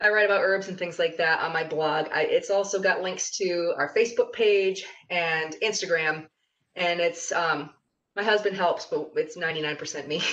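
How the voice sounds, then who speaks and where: A woman's fairly low-pitched, normal speaking voice at a moderate pace, with fairly even intonation. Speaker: herbalist and farmer. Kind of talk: class presentation.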